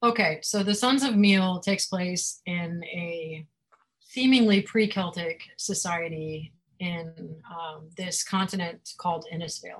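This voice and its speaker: A woman speaks at a very slow pace, somewhat breathy, with ordinary pitch variation. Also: fairly low pitch for a woman. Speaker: fantasy author. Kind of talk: author interview with a reading from her book. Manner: laughs often, chatty.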